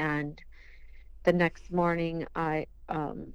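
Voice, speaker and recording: In an Upper Midwest accent, a woman speaks at a fairly low pitch with monotone, flat intonation. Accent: Upper Midwest (Minnesota). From southern Minnesota. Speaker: bereaved mother. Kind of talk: testimony.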